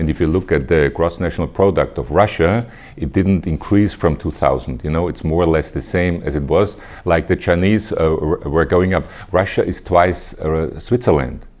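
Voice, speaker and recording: A man speaks with a very deep, low pitch and vocal fry. His pace is moderate and his pitch variation ordinary. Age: 60s. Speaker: politician. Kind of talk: interview. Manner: halting.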